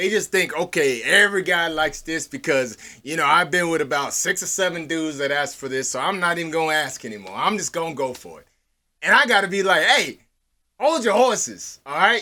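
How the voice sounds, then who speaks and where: A man's high, bright, sharp voice, animated and fairly quick, with lively intonation, in a very clean recording over a silent background. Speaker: podcast co-host. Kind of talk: casual chat.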